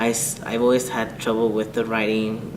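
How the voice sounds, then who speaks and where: The talking goes at a rather leisurely speed, and clear background noise can be heard beneath it. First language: Spanish. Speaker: college student. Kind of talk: interview testimony.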